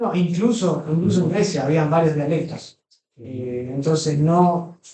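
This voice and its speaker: Audible room echo surrounds a man with a dark, mellow tone. His pitch is fairly high, with ordinary variation. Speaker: Greek language teacher. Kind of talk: lecture. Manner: halting.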